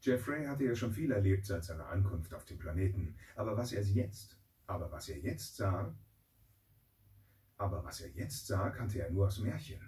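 A man with a fairly low pitch and a dark, mellow, somewhat breathy tone speaks at a moderate pace with ordinary pitch variation. His loudness swings widely, and he takes long, frequent pauses. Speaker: voice actor. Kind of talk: children's audiobook reading. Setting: studio. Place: booth.

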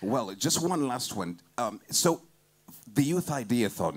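Speaking at a fairly slow pace, a man shows very wide pitch swings. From Uganda. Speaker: event emcee. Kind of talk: event hosting. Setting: stage with audience. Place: stage. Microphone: handheld.

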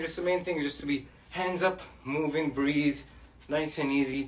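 Pitch varies in an ordinary way. The pace is moderate. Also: man. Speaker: boxing fitness coach. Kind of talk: workout instruction. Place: home room. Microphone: camera far.

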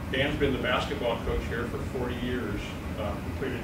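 There is loud background noise as a man speaks at a moderate pace. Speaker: associate head coach introducing the speaker. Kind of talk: formal introduction of a speaker. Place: meeting room. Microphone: camera far.

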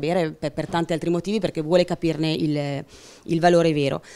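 A woman with a very deep, low pitch speaks in a dark, mellow tone with fairly even intonation. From Piedmont, Italy. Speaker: winemaker; panelist. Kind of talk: panel talk. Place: meeting room. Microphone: handheld.

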